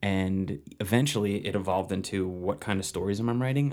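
This man has an ordinary speaking voice, fairly low in pitch, with an American accent and ordinary pitch variation. He talks at a moderate pace in a very clean recording with a silent background. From New Jersey. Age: 30s. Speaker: screenwriter and filmmaker. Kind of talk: casual interview chat.

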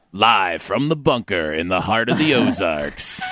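A man's put-on character voice at a medium pitch, with faint music in the background. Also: moderate pace. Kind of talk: dramatic.

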